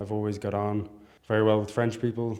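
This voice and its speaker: A man speaks in a dark, mellow tone. His intonation stays monotone and flat. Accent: Dublin. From Ireland, Dublin. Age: 20s. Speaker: university student. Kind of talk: interview.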